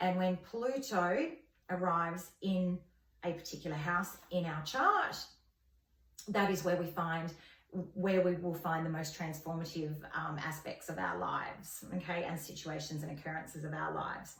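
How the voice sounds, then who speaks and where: Delivered with an Australian accent and fairly even intonation, the speech carries audible room echo and noticeable background noise. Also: woman, fairly low pitch for a woman, moderate pace. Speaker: astrology vlogger. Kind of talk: informal tutorial. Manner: hesitant, many fillers.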